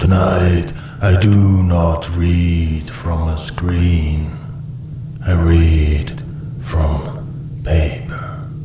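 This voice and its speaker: A man talks at a very slow pace in a very deep, low pitch. Loud background noise and a slight echo surround him. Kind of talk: slow atmospheric gothic spoken word. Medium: read story. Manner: slow, measured, short pauses.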